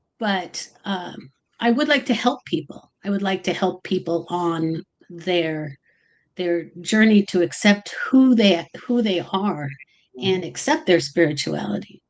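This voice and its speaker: Her medium-pitched voice has lively intonation as the woman speaks at a fairly slow pace. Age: 60s. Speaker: tarot reader. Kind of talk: livestream interview. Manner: halting, many fillers.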